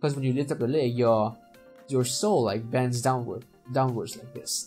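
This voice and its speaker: Over music in the background, a man with a non-native accent talks at a moderate pace, his loudness swinging widely. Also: medium pitch for a man, ordinary pitch variation. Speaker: animator. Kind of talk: software tutorial narration. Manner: casual, hesitant.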